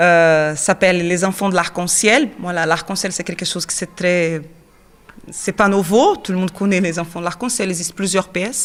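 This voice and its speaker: A woman talks with a Portuguese accent. Her pace is moderate and her pitch variation ordinary. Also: medium pitch for a woman. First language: Portuguese (speaking French). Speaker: actress and children's theatre teacher. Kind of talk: interview. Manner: hesitant.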